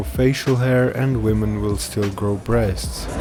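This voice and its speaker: Music sounds in the background while a man speaks at a fairly slow pace. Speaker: video blogger. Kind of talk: scripted narration.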